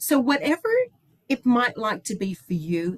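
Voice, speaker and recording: Somewhat breathy, a woman talks at a moderate pace with a dry, close sound and no echo. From Ireland, Dublin. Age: 60s. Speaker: company executive. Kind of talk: sales pitch. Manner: animated.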